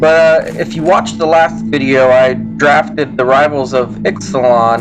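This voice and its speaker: A man is talking at a moderate speed. Background music accompanies him. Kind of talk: casual gameplay commentary. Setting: laptop built-in mic.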